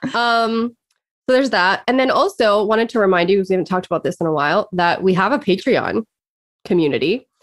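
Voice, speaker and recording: A woman talks in an unremarkable speaking voice with ordinary pitch variation. The sound is dry and close, with no echo. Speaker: life and career coach. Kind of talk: casual chat. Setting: video call. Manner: laughs often.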